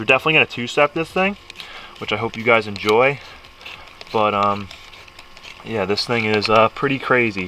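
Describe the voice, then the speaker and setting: Against noticeable background noise, a man with a fairly low pitch talks at a fairly quick pace with ordinary pitch variation. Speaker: car modding vlogger. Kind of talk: casual vlog. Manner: casual, filler-heavy.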